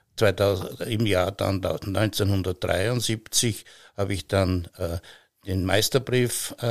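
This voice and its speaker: A man with a fairly low pitch at a very slow pace, fairly even intonation, long and frequent pauses, and a dry, close sound with no echo. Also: very clean recording, silent background. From Austria, Styria. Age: 70s. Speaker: master butcher. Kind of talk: casual chat. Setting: wooden farm granary.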